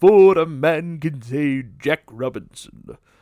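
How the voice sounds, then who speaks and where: Using a put-on character voice with a fairly high pitch, a man speaks at a fairly slow pace with ordinary pitch variation in a dry, close sound with no echo. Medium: read story. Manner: jovial, hearty.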